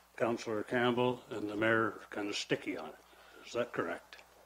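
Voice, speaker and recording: The pace of this man's speech is moderate. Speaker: citizen addressing council. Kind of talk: heated debate. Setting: council meeting. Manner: loud; animated.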